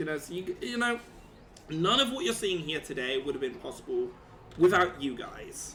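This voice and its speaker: A man with a British accent speaks with very wide pitch swings over noticeable background noise. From Britain. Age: 20s. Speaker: streamer. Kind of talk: live stream chat. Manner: animated.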